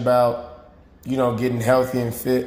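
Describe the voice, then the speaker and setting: A man's medium-pitched voice in a monotone, flat delivery, at a moderate pace, with audible room echo. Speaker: fitness coach. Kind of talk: motivational talk to camera. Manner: casual, filler-heavy.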